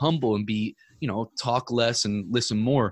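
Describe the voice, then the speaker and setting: Recorded with a dry, close sound and no echo, a man speaks in a medium pitch with a normal speaking voice. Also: very clean recording, silent background. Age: 30s. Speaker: entrepreneur and podcaster. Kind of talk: casual chat.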